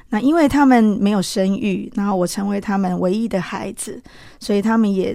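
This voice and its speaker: Medium pitch from a woman, with a dark, mellow tone. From Taiwan, Changhua County. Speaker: interviewee sharing faith testimony. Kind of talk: testimony.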